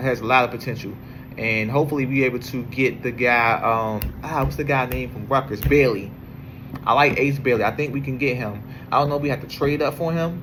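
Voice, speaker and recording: A man with an American accent, medium pitch and fairly even intonation at a fairly quick pace, with audible room echo and noticeable background noise. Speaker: sports podcaster. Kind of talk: casual monologue. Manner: halting, many fillers.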